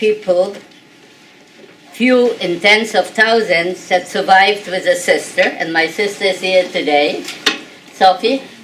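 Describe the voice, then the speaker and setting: A woman's fairly slow speech, with pitch varying in an ordinary way, comes through noticeable background noise. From Poland, Warsaw. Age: 80s+. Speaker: Holocaust survivor speaker. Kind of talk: testimony.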